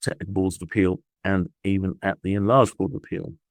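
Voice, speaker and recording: Speech comes at a very fast pace with a British accent in a dry, close sound with no echo. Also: man. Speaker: patent attorney. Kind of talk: podcast interview. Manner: hesitant, with fillers and repeats.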